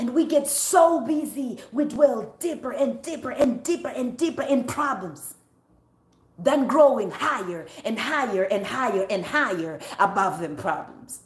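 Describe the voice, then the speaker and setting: A woman with a high pitch speaks at a fairly slow pace in an animated tone. Her pitch swings very widely, and there is noticeable background noise. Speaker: preacher. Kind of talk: sermon. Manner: animated, fervent preaching.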